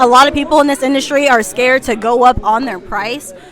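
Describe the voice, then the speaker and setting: Crowd noise fills the background. Over it, a woman speaks at a high pitch and a fairly quick pace. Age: 20s. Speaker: barber and interviewer. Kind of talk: casual interview. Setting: barber trade event.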